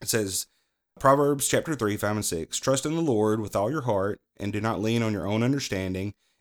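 Someone with a Southern US accent speaks at a moderate pace with ordinary pitch variation on a very clean recording with a silent background. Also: man, fairly low pitch for a man. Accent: US South. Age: 30s. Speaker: podcast host. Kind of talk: devotional talk. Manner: halting.

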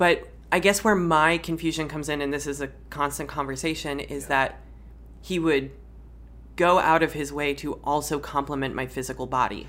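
A woman's very deep, low voice with vocal fry, at a moderate pace. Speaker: drag performer and non-binary guest. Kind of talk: casual chat. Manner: animated.

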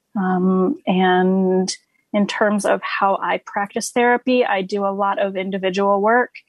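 An unremarkable speaking voice moving at a fairly slow pace. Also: woman, medium pitch for a woman. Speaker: social worker. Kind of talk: panel discussion.

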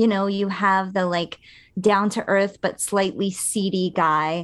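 An ordinary speaking voice at a fairly slow pace. The background is quiet. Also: woman. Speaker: podcast co-host. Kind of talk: casual chat.

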